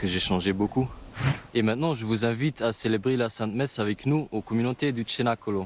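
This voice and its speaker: Speaking at a fairly quick pace, a man keeps a medium pitch. His pitch varies in an ordinary way. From Belgium. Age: 20s. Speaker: recovering addiction community resident. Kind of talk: testimony. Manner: halting.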